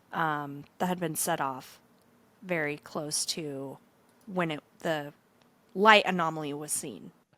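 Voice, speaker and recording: This woman's pitch is very deep and low, with a bright, sharp tone. She speaks at a very slow pace with fairly even intonation. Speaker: podcast co-host. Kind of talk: casual chat. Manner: hesitant, many fillers.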